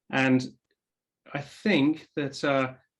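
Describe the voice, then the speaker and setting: With an English accent, a man talks at a medium pitch. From England. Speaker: tech company executive. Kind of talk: interview.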